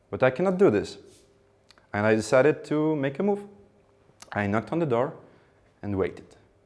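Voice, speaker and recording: A man with a Ukrainian accent speaks at a fairly high pitch, with very wide pitch swings. His pace is fairly quick, broken by long, frequent pauses. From Ukraine. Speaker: public speaker. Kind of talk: speech.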